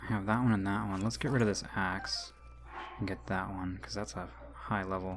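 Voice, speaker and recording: A man speaks with a very deep, low pitch and very wide pitch swings at a moderate pace. Audible room echo surrounds his voice. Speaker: gaming youtuber. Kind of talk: let's play commentary. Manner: casual, hesitant with fillers.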